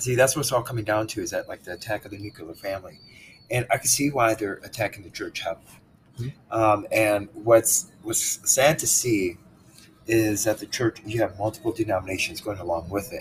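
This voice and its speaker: Somewhat breathy, medium-pitched male speech with ordinary pitch variation, moving at a fairly quick pace. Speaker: podcast host. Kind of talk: interview conversation on faith. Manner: hesitant, searching for words.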